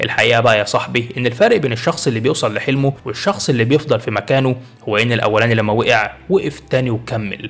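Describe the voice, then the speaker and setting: Over noticeable background noise, a man with an Egyptian accent talks at a fairly quick pace with hardly any pauses. His pitch is medium, with ordinary pitch variation. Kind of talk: motivational self-help narration. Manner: encouraging, storytelling.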